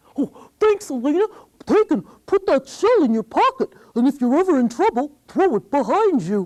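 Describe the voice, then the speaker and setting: A put-on character voice, high in pitch, with very wide pitch swings. The pace is moderate. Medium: read story.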